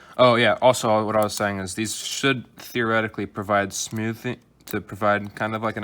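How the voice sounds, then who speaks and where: A soft-spoken man talks at a fairly quick pace. His pitch is fairly low, with a bright, sharp tone. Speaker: hobbyist YouTuber building a drone. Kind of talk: tutorial. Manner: hesitant.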